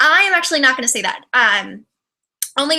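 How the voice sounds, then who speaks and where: A woman is speaking. She talks in a Californian accent. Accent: flat, bright Californian. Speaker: YouTuber. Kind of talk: casual livestream chat. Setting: livestream video. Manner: fast; trips on words.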